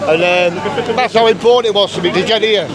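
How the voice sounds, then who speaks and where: A man with an English accent talks at a fairly quick pace over crowd noise in the background. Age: 50s. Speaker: rally attendee, terminally ill. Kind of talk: street interview. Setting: outdoors at a rally.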